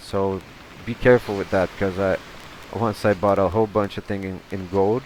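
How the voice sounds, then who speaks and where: Fairly low-pitched man at a moderate pace, monotone and flat in intonation, with noticeable background noise. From Brazil. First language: Portuguese. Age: 30s. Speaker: gaming youtuber. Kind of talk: gameplay commentary. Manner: halting, many repetitions; casual, chatty.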